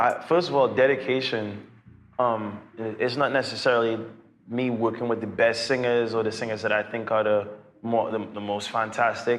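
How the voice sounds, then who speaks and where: There is audible room echo as a man with a Trinidadian accent talks at medium pitch and a moderate pace, his intonation fairly even. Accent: Trinidadian island. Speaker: singer and YouTuber. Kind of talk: Q&A vlog, casual talk to viewers.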